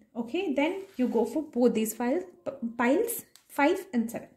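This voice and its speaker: A woman's dark, mellow tone with lively intonation at a moderate pace, some audible room echo, and a quiet background. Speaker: tarot reader. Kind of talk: tarot card reading. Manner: stammering; casual, conversational. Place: home room. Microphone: phone near.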